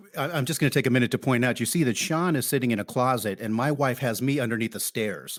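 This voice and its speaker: Hardly pausing, a man with an American accent talks at a very fast pace, his medium pitch showing ordinary pitch variation. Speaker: podcast host. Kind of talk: casual chat. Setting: recording at home under the stairs. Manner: enthusiastic, animated.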